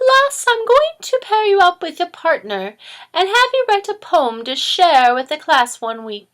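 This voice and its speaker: A woman's put-on character voice, raised and projected, extremely high in pitch with very wide pitch swings. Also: moderate pace. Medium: read story. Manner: warm, gentle.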